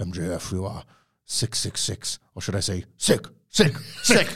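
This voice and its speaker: A man talks very slowly. His voice is a put-on character voice. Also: fairly low pitch for a man, very clean recording, silent background. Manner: menacing, taunting.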